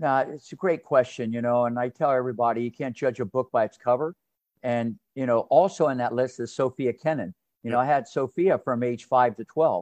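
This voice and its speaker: With an American accent, a man talks at a fairly quick pace and medium pitch with ordinary pitch variation, the sound dry and close with no echo. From US Midwest, southwestern Ohio. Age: 60s. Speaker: tennis coach. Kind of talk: interview. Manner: animated; fast.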